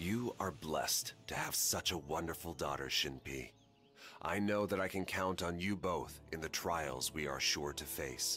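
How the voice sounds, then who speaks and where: Put-on character voice from a man, very deep and low, with ordinary pitch variation over clear music in the background. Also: moderate pace. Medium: video game. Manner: dignified, measured.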